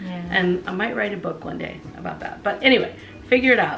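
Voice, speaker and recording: A woman speaks at a fairly quick pace with a fairly low pitch and ordinary pitch variation. Her recording has audible room echo and noticeable background noise. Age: 50s. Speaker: podcast co-host. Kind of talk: casual chat.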